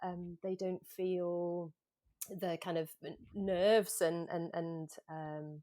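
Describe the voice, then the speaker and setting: In a slight Manchester accent, a woman speaks at a very slow pace in a flat monotone with fairly low pitch, the sound dry and close with no echo. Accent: slight Mancunian. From Manchester, northern England. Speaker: yoga coach, former freediver. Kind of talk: podcast interview.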